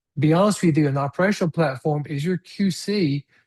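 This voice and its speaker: The speaker is a man with a fairly high pitch. His voice sounds somewhat breathy. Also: dry, close sound with no echo. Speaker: webinar presenter on smart streetlighting software. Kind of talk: webinar presentation. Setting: online webinar on Zoom.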